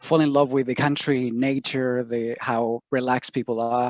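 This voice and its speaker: A man's fairly even voice in a Chilean accent. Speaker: sustainability program director. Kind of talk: webinar interview.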